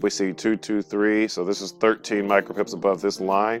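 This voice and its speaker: Music in the background behind a man at a fairly low pitch, with ordinary pitch variation and a moderate pace. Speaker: trading educator. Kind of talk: screen-recorded tutorial. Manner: casual, with fillers.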